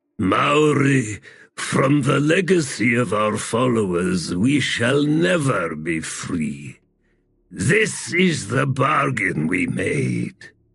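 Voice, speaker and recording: Growling in a put-on character voice at a very slow pace, a man with a medium pitch swings his pitch very widely. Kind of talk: solemn and fatalistic.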